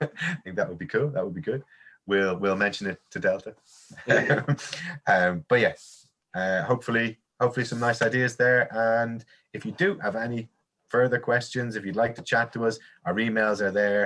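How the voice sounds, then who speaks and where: With an Irish accent, a man speaks at a moderate pace and medium pitch, his bright, sharp tone carrying ordinary pitch variation between long, frequent pauses. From Ireland. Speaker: teacher trainer and coursebook author. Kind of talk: webinar talk. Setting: online webinar.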